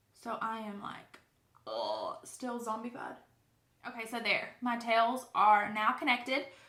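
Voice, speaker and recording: At a fairly slow pace, a woman speaks with a high pitch, fairly even intonation and big swings in loudness amid audible room echo. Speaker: beauty vlogger. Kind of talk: makeup tutorial. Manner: casual, chatty.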